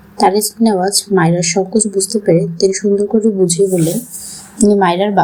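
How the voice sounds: The reading is done in a natural voice whose intonation stays fairly even.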